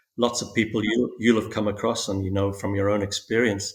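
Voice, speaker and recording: A man speaks at a fairly quick pace in a monotone, flat intonation, somewhat breathy. The recording is very clean, with a silent background. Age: 60s. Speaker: spiritual guest sharing awakening story. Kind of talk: podcast interview. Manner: halting, many fillers and repetitions.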